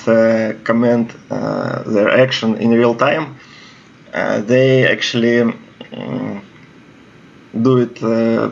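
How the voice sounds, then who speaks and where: Amid noticeable background noise, a man with a medium pitch speaks very slowly in a monotone, flat intonation. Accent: Russian. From Russia. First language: Russian. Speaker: video game commentator. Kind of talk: gameplay commentary. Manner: halting, many fillers.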